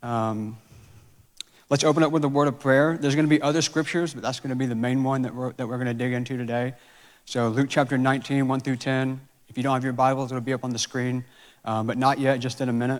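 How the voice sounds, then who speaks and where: A man with an American accent speaks in a monotone, flat intonation at a medium pitch and a fairly quick pace. The recording is very clean, with a silent background. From Georgia, US South. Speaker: church staff member preaching. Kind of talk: sermon. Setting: church. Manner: casual, filler-heavy.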